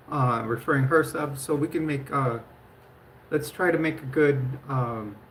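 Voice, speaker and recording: A woman speaks at a very deep, low pitch, somewhat breathy and fairly slow, with long, frequent pauses. Her intonation is fairly even, and the room echo is audible. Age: 50s. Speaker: livestreamer. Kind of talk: casual live stream chat. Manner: halting, many fillers.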